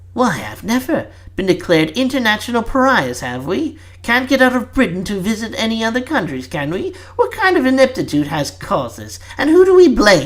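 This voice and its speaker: A man's put-on character voice, high-pitched and fairly quick, with very wide pitch swings, big swings in loudness and light background noise. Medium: read story. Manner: indignant, sarcastic.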